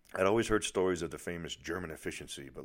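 A man with a Boston accent speaks at a very fast pace. His pitch variation is ordinary. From Boston, US. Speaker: podcaster and author. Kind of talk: reading aloud from own memoir.

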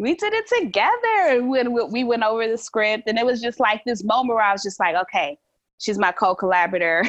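A woman's fairly high pitch in a plain, everyday voice, at a fairly quick pace with ordinary pitch variation. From Chicago, US Midwest (born in Brooklyn, New York). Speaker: artist and educator. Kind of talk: casual interview.

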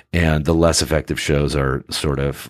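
This voice has an American accent and shows vocal fry. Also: man. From Northern California (Sacramento). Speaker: actor. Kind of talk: interview. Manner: halting, many fillers.

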